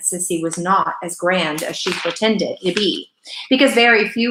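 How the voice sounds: The natural reading voice shows ordinary pitch variation, and the background stays quiet.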